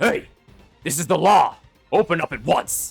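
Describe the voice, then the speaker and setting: Shouting in a gruff, put-on character voice, a man speaks at a moderate pace with faint music in the background. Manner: shouting, commanding.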